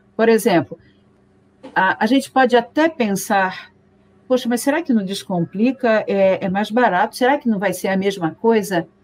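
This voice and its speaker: Speaking at a moderate pace, a woman uses a normal speaking voice pitched fairly high. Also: ordinary pitch variation. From Rio de Janeiro, Brazil. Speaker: teacher. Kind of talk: casual chat.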